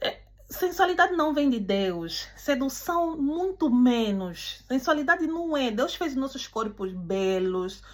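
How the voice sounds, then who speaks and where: A high-pitched woman's voice with very wide pitch swings, very slow and with hardly any pauses. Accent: non-native. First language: not Portuguese (speaking Portuguese). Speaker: preacher. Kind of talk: sermon. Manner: halting.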